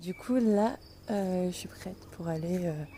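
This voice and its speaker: Here a woman speaks fairly low in pitch. Her tone is dark and mellow. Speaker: travel vlogger. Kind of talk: travel vlog. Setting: outdoors. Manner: soft-spoken; animated.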